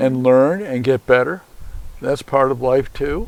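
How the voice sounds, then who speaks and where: This man talks fairly slowly. Behind him, background noise is noticeable. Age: 80s+. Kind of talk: interview answer.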